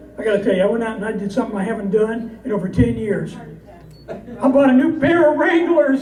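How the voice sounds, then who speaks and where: A man with a high pitch and lively intonation speaks very fast amid noticeable background noise. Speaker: cowboy poet. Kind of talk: casual stage talk to audience. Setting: live audience.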